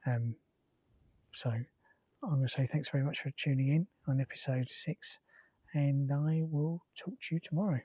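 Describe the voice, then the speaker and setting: A quiet, somewhat breathy man mumbles at a fairly high pitch with long, frequent pauses, recorded dry and close with no echo, very cleanly against a silent background. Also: ordinary pitch variation, moderate pace. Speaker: travel vlogger. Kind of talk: casual vlog monologue. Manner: mumbling.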